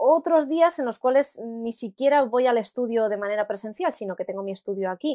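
A woman with an ordinary speaking voice at a moderate pace, in dry, close sound with no echo and a quiet background. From Spain, Alicante. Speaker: singer and voice actress. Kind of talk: interview.

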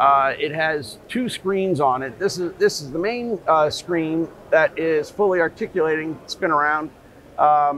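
A man at a fairly slow pace, ordinary pitch variation, dry sound with no echo, light background noise behind. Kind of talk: interview answer. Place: hall.

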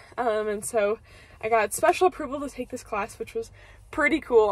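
A woman's fairly quick delivery with ordinary pitch variation and a dry sound with no echo. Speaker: university student vlogger. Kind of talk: casual vlog chat. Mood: upbeat, a bit stressed. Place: car. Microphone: phone near.

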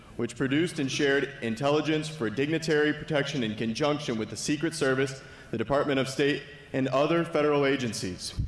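With audible room echo around him, a man talks at a fairly quick pace using fairly even intonation. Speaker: speaker. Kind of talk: formal speaker introduction. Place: hall. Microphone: podium.

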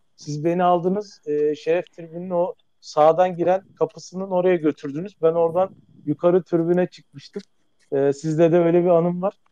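A man speaks at a moderate pace with a high pitch and a dark, mellow tone. His intonation is flat and monotone, and the sound is dry and close with no echo. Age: 40s. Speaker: caller, club member. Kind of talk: personal anecdote. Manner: halting.

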